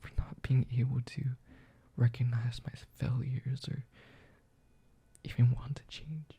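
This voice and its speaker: A man whispers, somewhat breathy, with long, frequent pauses and big swings in loudness. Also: fairly slow pace. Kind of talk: ASMR apology monologue. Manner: whispered.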